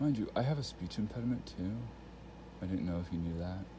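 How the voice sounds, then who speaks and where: In a room with audible echo, a man speaks at a very deep, low pitch with lively intonation. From Texas Panhandle. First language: Spanish. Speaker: vlogger. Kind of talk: casual monologue. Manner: rambling with fillers.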